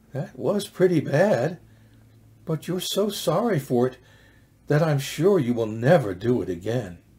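The speaker talks at a fairly slow pace, with vocal fry. The pitch swings very widely. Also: man. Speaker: storyteller. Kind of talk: reading a children's story aloud. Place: home room. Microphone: webcam.

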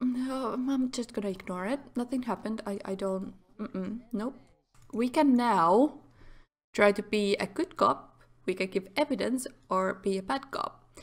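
A woman with a Finnish accent speaks at a fairly slow pace and a fairly high pitch. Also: ordinary pitch variation. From Finland. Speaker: gaming YouTuber. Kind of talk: let's play commentary. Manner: halting.

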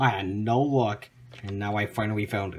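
Light background noise sits behind a man with a normal speaking voice. He speaks at a fairly low pitch with fairly even intonation. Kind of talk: casual collection update vlog. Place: home room. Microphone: phone near.

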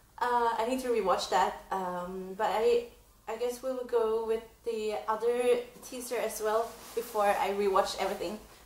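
A woman speaks in an excited tone at a fairly slow pace and fairly high pitch, with audible room echo and light background noise. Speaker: reaction vlogger. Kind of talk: casual reaction vlog to camera. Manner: excited, hesitant with many fillers. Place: home room. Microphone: camera far.

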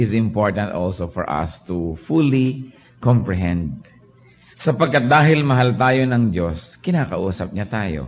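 A man at medium pitch talks at a very slow pace, his voice making very wide pitch swings. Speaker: preacher / pastor. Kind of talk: sermon preaching to a congregation. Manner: earnest, conversational.

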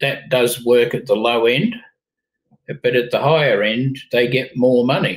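A man with an Australian accent, fairly slow and fairly even in intonation, over a quiet background. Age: 70s. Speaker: company founder and chairman; interview guest. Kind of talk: interview. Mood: blunt, opinionated. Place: home room.

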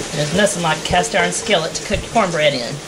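Noticeable background noise behind a woman at a moderate pace. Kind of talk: tutorial. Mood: relaxed and friendly. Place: kitchen.

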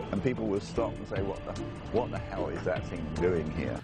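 A man speaks with vocal fry. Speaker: news anchor reporter. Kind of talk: TV news report, scripted anchor delivery with playful, wry tone. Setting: on location outdoors in park at night. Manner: animated; wry, punchy, quipping.

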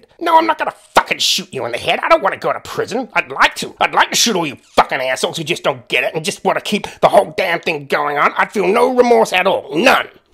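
Putting on a character voice, a man talks at a very fast pace in a high pitch. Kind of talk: read story. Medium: read story. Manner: angry, shouting.

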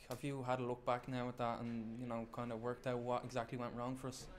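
Medium-pitched, a man speaks fast. His intonation stays monotone and flat.

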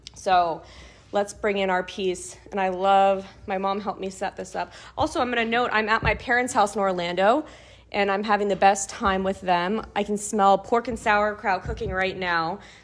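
A woman talks at a moderate pace. Her intonation is fairly even. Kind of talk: tutorial. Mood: warm, cheerful. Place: home room. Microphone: camera far.

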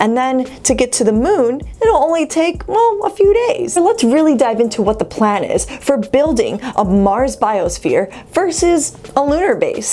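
Moving at a moderate pace, a woman's high voice makes very wide pitch swings. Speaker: science video host. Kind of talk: explainer narration. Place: home room.

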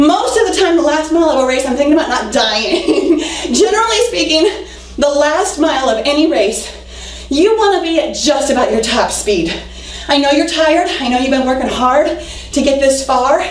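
With lively intonation and a high pitch, a woman speaks amid audible room echo. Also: moderate pace. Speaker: fitness instructor. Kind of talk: workout coaching. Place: empty room. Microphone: camera far.

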